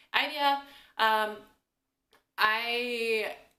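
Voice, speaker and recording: Her voice is fairly high in pitch with a bright, sharp tone. The woman's speech carries audible room echo. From US Midwest, Kansas. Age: 20s. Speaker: vlogger. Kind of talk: Q&A vlog, casual chat.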